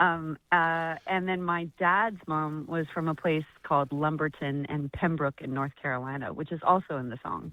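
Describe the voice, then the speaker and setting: A woman with an American accent speaks at a very deep, low pitch in a bright, sharp tone, using fairly even intonation and hardly any pauses. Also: moderate pace. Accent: noticeable American. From US West, Las Vegas. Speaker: singer-songwriter. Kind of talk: live radio phone interview. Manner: casual, friendly.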